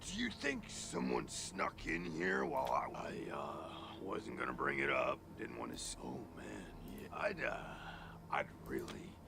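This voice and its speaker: Loud background noise surrounds a man whispering in a cartoonish character voice at a moderate pace. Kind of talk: surfer-stoner drawl. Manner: rambling, laid-back, filler-heavy.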